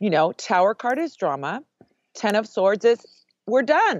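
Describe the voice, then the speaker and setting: Very wide pitch swings and vocal fry at a moderate pace, with a dry, close sound, no echo and a quiet background. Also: woman. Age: 50s. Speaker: witch and tarot author. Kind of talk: casual interview. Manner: animated.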